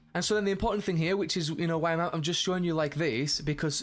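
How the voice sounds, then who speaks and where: Music plays in the background as a man talks at a very fast pace. His pitch variation is ordinary. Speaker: game development tutorial creator. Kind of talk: tutorial. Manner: halting, many fillers and restarts.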